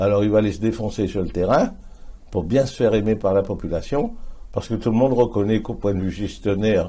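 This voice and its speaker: A fairly quick male voice, fairly low-pitched, with a dark, mellow tone and ordinary pitch variation. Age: 70s. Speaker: politician. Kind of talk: interview.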